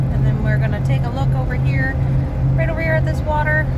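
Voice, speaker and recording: Loud background noise is present throughout. Over it, a woman talks. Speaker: travel vlogger. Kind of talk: casual vlog chat. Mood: relieved, cheerful. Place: car. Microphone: phone near.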